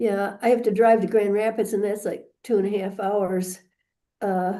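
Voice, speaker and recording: In a room with audible echo, a woman of medium pitch speaks at a moderate pace in a dark, mellow tone with monotone, flat intonation. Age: 70s. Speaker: landlord in eviction case. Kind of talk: court hearing. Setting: video call from courthouse computer. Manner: halting.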